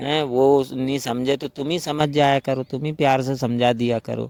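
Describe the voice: A man's medium-pitched, slightly mellow voice with little pitch movement, at a moderate pace, in a dry, close sound with no echo.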